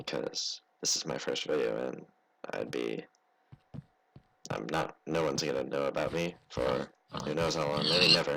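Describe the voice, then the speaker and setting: Very deep and low, a man's voice moves at a moderate pace. He takes long, frequent pauses. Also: ordinary pitch variation. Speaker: gaming YouTuber. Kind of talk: let's play commentary. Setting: bedroom. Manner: halting.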